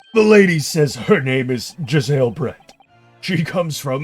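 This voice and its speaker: A man does a put-on character voice at a fairly high pitch and moderate pace. Faint music plays in the background. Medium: game stream. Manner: reporting, hesitant.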